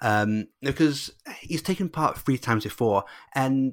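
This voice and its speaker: A man with an English accent speaks at a fairly slow pace with lively intonation on a very clean recording with a silent background. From England. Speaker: Eurovision podcaster and fan club coordinator. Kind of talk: casual interview chat.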